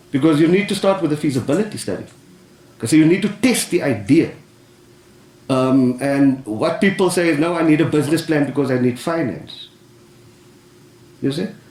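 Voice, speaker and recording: Speaking at a moderate pace with long, frequent pauses, a man uses lively intonation at a fairly high pitch in audible room echo. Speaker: business adviser. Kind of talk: panel discussion. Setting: council chamber with audience. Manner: loud; animated.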